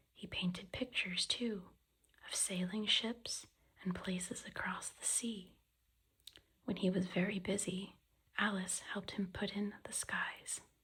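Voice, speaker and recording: Soft-spoken and whispering, the speaker goes at a fairly slow pace with long, frequent pauses. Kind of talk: soft-spoken ASMR book reading. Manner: soft-spoken, whispery, relaxing.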